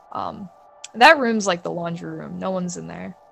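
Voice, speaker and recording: A woman talks at a moderate pace with an American accent. Music plays in the background. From New York, Bayside, Queens. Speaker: illustrator and freelance artist. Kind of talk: casual storytelling interview.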